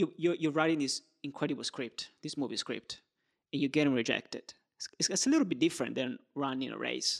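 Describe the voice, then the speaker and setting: In an Italian accent, a man speaks at a fairly quick pace, the sound dry and close with no echo. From Italy. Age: 20s. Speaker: podcast host. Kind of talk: interview conversation.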